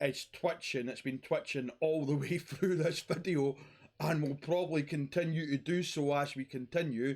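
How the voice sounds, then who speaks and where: A man with a Scottish accent, fairly high in pitch, at a moderate pace with fairly even intonation. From Scotland. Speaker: YouTuber talking about mental health. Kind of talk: personal monologue vlog.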